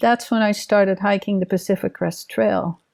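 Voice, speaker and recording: Very clean, with a silent background, this recording has a woman with a Dutch accent speaking at a moderate pace and medium pitch in a dark, mellow tone, the sound dry and close with no echo. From Netherlands. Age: 70s. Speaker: author and retired therapist. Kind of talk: interview. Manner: halting.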